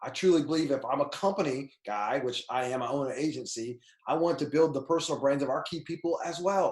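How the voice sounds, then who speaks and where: A man with a fairly high pitch talks in an animated tone at a fairly quick pace, with hardly any pauses and ordinary pitch variation. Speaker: personal brand coach. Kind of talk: tutorial. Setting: screen share recording. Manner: fast.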